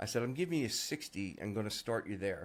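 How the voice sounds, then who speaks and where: Talking at a fairly quick pace, a man uses an ordinary speaking voice with lively intonation. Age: 60s. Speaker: SEO agency founder. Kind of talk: interview conversation. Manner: casual, filler-heavy.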